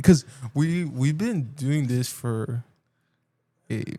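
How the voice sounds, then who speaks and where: Somewhat breathy, the voice comes across. Its tone is dark and mellow. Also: man. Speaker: podcast co-host. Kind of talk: casual chat. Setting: home studio.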